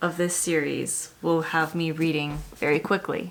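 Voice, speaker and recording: A woman's fairly low voice with fairly even intonation, over noticeable background noise. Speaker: book reviewer. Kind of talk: casual chat.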